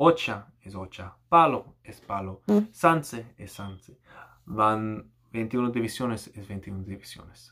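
Against a quiet background, a man speaks at a very slow pace in a bright, sharp tone with fairly low pitch. His intonation is lively and his loudness swings widely. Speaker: YouTuber. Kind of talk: angry rant. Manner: animated, exasperated, impatient; halting, code-switching between Spanish and English. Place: home room. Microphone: webcam.

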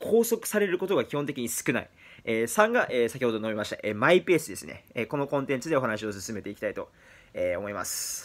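A man's fairly high voice with very wide pitch swings, at a fairly quick pace. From Japan, Fukuoka; Japan. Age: 20s. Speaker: vlogger. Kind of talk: monologue to camera. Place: home room. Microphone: phone near.

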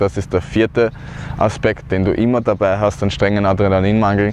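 The sound is dry with no echo, and light background noise is present. A man speaks at a moderate pace with a fairly low pitch. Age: 30s. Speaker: cancer survivor. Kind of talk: personal testimony talk to camera. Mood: earnest, calm. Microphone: lapel.

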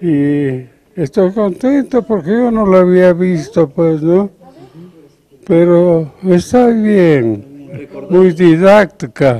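A man's high voice with lively intonation at a very slow pace. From Cajamarca, Peru. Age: 80s+. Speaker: painter. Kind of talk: interview answer. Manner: slow, unhurried. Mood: playful, humorous. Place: hall. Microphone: handheld.

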